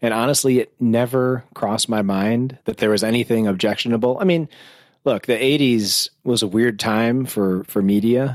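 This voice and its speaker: In a plain, everyday voice, a man with an American accent speaks at a medium pitch and moderate pace with fairly even intonation and very even loudness, on a very clean recording with a silent background and a dry, close sound with no echo. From US, rural farm town. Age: 40s. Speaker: film website co-creator. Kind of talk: casual chat.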